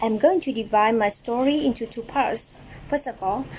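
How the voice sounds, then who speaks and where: Against noticeable background noise, a woman talks at a moderate pace in a fairly high pitch with ordinary pitch variation. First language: Vietnamese. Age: 20s. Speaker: English language student. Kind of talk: prepared speech presentation. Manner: halting.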